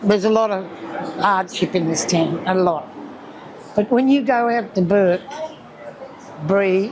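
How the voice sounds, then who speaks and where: Over noticeable background noise and audible room echo, a woman speaks at a fairly slow pace with long, frequent pauses. Her pitch is medium, with ordinary pitch variation. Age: 70s. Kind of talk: interview. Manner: halting.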